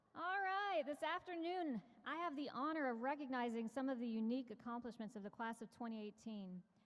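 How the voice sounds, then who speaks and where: Loud and high-pitched, a woman talks at a fairly quick pace with lively intonation amid noticeable background noise. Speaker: school administrator. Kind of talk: ceremony speech. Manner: formal.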